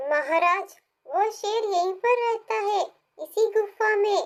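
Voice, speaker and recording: A squeaky, cartoonish character voice that sounds female talks at a fairly slow pace with an extremely high pitch. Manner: respectful, addresses the lion as lord.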